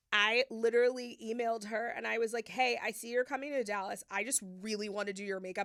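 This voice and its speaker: At a fairly quick pace, a woman with a fairly high pitch speaks in an animated tone, captured in a very clean recording with a silent background. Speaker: makeup artist. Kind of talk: casual chat. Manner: loud, animated.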